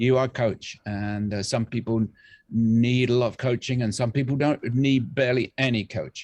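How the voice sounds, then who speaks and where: A man with an English accent talks at a moderate pace and a medium pitch. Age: 60s. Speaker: music producer and bassist. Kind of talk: casual interview chat. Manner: halting, many fillers.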